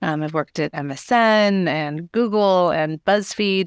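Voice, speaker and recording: A woman with an American accent speaks with ordinary pitch variation in a dry, close sound with no echo, on a very clean recording with a silent background. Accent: American, unchanged after years in UK. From California, US. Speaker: editor and author. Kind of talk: podcast interview.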